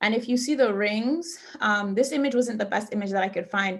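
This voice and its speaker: Somewhat breathy, the speaker uses an American accent, a moderate pace and ordinary pitch variation. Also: woman. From New York, Brooklyn. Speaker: doctoral student presenter on mental health. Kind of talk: workshop presentation.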